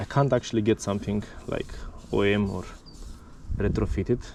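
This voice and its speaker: A man's dark, mellow voice of medium pitch with a non-native accent, at a fairly quick pace. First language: not English. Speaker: mountain bike vlogger. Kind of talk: casual tutorial. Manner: animated.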